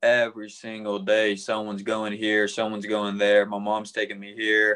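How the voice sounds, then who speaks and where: The background is quiet. Words come at a moderate pace. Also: man. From Tennessee, Memphis area. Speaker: college baseball player. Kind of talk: casual interview.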